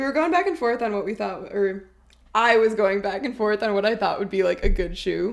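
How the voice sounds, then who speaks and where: A woman talks at a fairly quick pace with a slight Minnesotan accent. Her pitch is fairly high, with ordinary variation. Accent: little Minnesotan. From Minnesota, Minneapolis. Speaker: graduate student. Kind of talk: casual chat.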